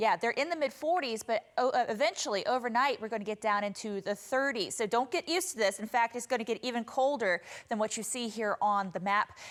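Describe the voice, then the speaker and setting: In an American accent, a woman uses an ordinary speaking voice with a fairly high pitch and lively intonation, talking at a fairly quick pace with hardly any pauses on a very clean recording with a silent background. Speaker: television meteorologist. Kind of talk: TV weather forecast.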